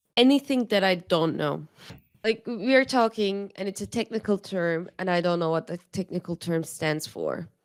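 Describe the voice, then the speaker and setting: In a very clean recording with a silent background and a dry, close sound with no echo, a woman with a non-native accent speaks at a medium pitch and moderate pace with ordinary pitch variation. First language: not English. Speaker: podcast co-host. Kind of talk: casual chat.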